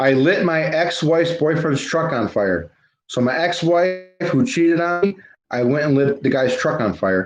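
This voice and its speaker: Over music in the background, a man with a fairly high pitch speaks at a moderate pace, his intonation lively and his loudness very even. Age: 30s. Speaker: livestream host, local activist. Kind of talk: casual livestream chat. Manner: informal, talks to viewers directly.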